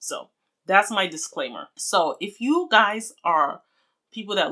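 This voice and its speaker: The tone is bright and sharp, the intonation lively, and the recording very clean with a silent background. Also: woman. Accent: Nigerian. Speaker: beauty vlogger. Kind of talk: casual vlog talk to camera. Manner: chatty.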